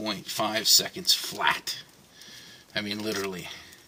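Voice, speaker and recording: A man mumbles at a fairly slow pace. There is noticeable background noise. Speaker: van life vlogger. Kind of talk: tutorial. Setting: inside a van. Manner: mumbling to himself.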